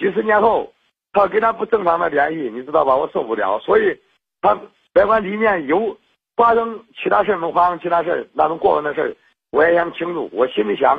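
This man talks at a fairly quick pace in a high pitch. His intonation is lively. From Henan, China. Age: 50s. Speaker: caller. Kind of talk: phone-in call about marriage trouble. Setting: phone call. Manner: halting, many fillers.

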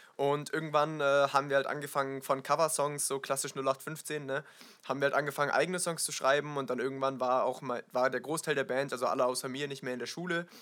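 A man's fairly high, bright and sharp voice, monotone and flat, at a very fast pace. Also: very clean recording, silent background. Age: 20s. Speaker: musician and radio host. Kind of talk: casual chat.

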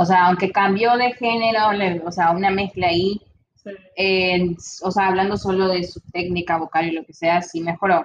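A woman's ordinary speaking voice at medium pitch, with a moderate pace and fairly even intonation. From El Salvador. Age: 20s. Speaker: engineering student and singer. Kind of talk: casual interview.

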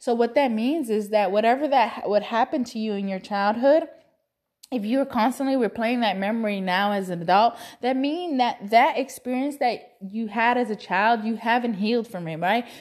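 An animated tone comes through with a Spanish accent over a quiet background. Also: woman, fairly high pitch for a woman, ordinary pitch variation, moderate pace. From Cuban family in Texas, US. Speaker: podcast host. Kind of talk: casual monologue. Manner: animated, laughs often; halting, many fillers.

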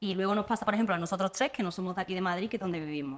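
Her intonation lively, a woman speaks. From Andalusia, Spain. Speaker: podcast host. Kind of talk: casual chat.

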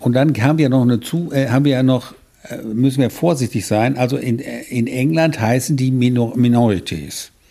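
The speaker has a plain, everyday voice, ordinary pitch variation and a moderate pace. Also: man, medium pitch for a man, very even loudness. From Rhineland, Germany. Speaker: physician. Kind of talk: interview.

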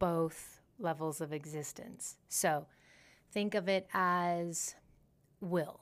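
Speaking at a very slow pace, a woman leaves long, frequent pauses. The recording is very clean, with a silent background. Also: fairly low pitch for a woman. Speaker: spirituality podcast host. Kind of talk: casual chat.

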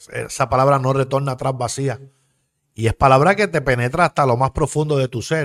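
A man's normal speaking voice, medium in pitch, at a fairly quick pace, with ordinary pitch variation, big swings in loudness and a dry, close sound with no echo. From Puerto Rico, Bayamón. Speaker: former pro wrestler and pastor. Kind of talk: interview testimony.

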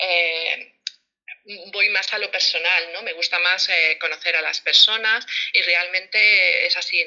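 Her pace is fairly slow, and her intonation fairly even. The woman has a medium pitch and big swings in loudness. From Barcelona, Spain. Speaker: family financial planner. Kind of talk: casual interview. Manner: halting, many repetitions.

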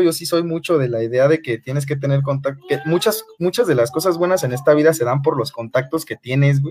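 Against music in the background, a man talks at a fairly quick pace with lively intonation. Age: 30s. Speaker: former coworker. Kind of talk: casual chat. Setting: video call from home.

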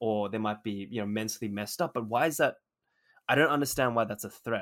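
A man speaks with an Australian accent. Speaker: podcast host, teacher. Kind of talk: interview chat. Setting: remote recording.

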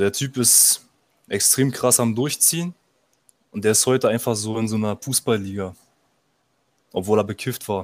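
A man's medium-pitched voice at a moderate pace with ordinary pitch variation and long, frequent pauses, in a very clean recording with a silent background. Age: 20s. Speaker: fitness enthusiast. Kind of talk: casual chat.

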